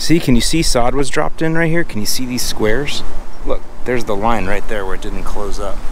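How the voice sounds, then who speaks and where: A man at a fairly quick pace, loudness very even, dry sound with no echo over light background noise. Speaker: lawn care educator. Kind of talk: casual walk-and-talk to camera. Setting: outdoors. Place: street. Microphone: phone near.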